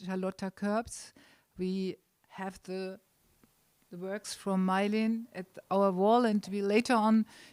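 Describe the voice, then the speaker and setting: Her intonation is monotone and flat. The woman talks at a fairly slow pace and a medium pitch. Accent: German. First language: German. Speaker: event organizer and host. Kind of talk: welcome speech at art opening. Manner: halting.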